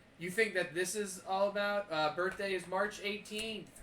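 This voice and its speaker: Over noticeable background noise, a man with a high pitch uses a raised, projected voice at a moderate pace with monotone, flat intonation. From moved around US as a kid, partly Pennsylvania. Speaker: streamer and punk rock musician hosting a game stream. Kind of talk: casual chat.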